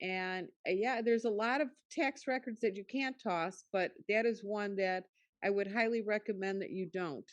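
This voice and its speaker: A woman talks at a medium pitch and moderate pace with ordinary pitch variation. It is a plain, everyday voice. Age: 60s. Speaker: class attendee. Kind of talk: audience contribution.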